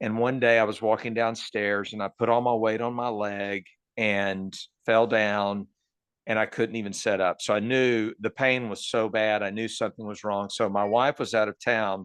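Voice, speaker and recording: In a Texan accent, a man talks at a fairly low pitch with monotone, flat intonation, the sound dry and close with no echo against a quiet background. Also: moderate pace. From Texas, Dallas area. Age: 60s. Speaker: cancer patient. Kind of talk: interview.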